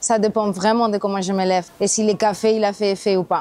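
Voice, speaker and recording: A woman's fairly high voice with a dark, mellow tone and monotone, flat intonation. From Spain. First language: Spanish (speaking French). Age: 30s. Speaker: passerby interviewed on street style. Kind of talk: street interview.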